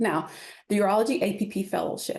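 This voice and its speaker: Here a woman speaks with a Kentucky accent. Her pace is moderate. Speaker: urology nurse practitioner. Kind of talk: lecture.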